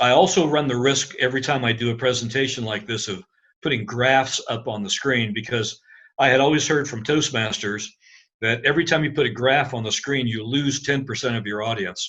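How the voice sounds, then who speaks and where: A man with an American accent speaks at a fairly quick pace against a quiet background. His medium-pitched voice has a bright, sharp tone and ordinary pitch variation. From US Midwest, Indiana. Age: 60s. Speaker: science center founder. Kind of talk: presentation.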